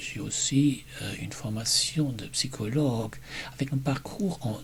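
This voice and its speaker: A man speaks over noticeable background noise. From Germany. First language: German (speaking French). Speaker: German teacher. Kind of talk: personal presentation video.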